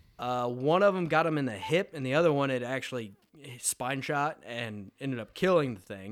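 An ordinary speaking voice from a man, medium in pitch, with lively intonation at a moderate pace. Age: 20s. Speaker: podcast co-host. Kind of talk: casual chat. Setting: home man cave studio.

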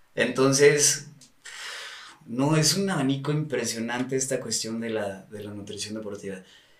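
At a moderate pace, a man talks at medium pitch with ordinary pitch variation, over noticeable background noise and audible room echo. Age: 30s. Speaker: sports nutritionist. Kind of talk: casual chat.

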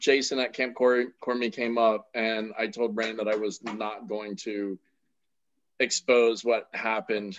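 A man with a normal speaking voice talks at a medium pitch and a moderate pace. The background is quiet. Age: 40s. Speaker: podcast host. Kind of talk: casual chat.

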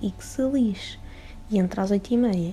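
A woman speaks in a European Portuguese accent. Noticeable background noise can be heard. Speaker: podcaster. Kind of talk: casual solo monologue. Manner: animated.

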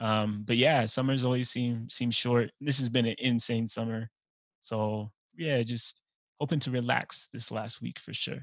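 Against a quiet background, a man with an American accent talks at a fairly slow pace in a plain, everyday voice, his medium pitch held in fairly even intonation. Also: dry, close sound with no echo. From Utah. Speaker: teacher and podcast host. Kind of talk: casual interview.

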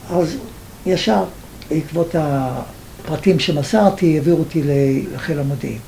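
A man talks very slowly at a fairly high pitch, with ordinary pitch variation. Room echo is audible and background noise is noticeable. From Libya (Benghazi). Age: 80s+. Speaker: Holocaust survivor and author. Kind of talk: personal testimony interview.

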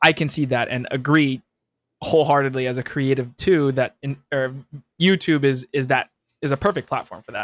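The man keeps a moderate pace. His voice sits fairly high. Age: 20s. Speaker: podcast host. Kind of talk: casual interview chat. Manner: animated.

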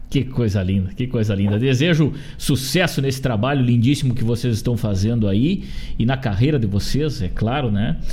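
A man with a southern Brazilian accent, medium pitch, ordinary pitch variation, very even loudness and a moderate pace. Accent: gaúcho Brazilian Portuguese. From Rio Grande do Sul, Brazil. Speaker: radio host. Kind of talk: radio interview. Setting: studio. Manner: animated.

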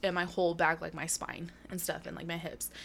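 A woman with vocal fry speaks at a fairly quick pace, her pitch fairly low. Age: 20s. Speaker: podcast co-host, college student. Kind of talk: casual chat. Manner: animated.

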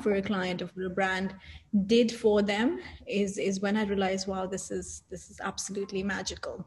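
A woman's somewhat breathy voice at a medium pitch, monotone and flat in intonation, at a moderate pace. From Saudi Arabia, Indian family. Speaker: business founder. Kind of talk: interview. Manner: hesitant with fillers.

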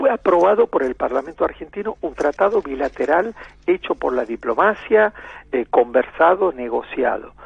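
A man's high-pitched voice swings very widely in pitch, moving at a moderate pace. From Argentina, Santiago del Estero (La Banda). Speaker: ambassador. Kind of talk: radio interview.

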